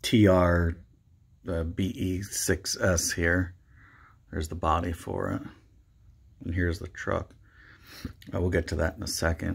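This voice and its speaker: A man with a very deep, low, somewhat breathy voice speaks at a fairly slow pace with fairly even intonation and long, frequent pauses. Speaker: RC hobbyist. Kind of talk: casual talk to camera. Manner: hesitant, many fillers.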